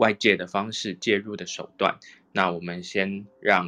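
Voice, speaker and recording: Bright and sharp in tone, a man with a fairly low pitch talks at a fairly slow pace with fairly even intonation. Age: young. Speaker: reiki teacher. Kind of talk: casual chat.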